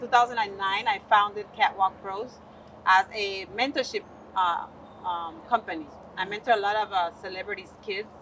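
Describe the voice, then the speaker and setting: Talking at a moderate pace, a woman with a Spanish accent keeps a medium pitch and ordinary pitch variation. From Panama. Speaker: modeling agency founder. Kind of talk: self-introduction in panel discussion.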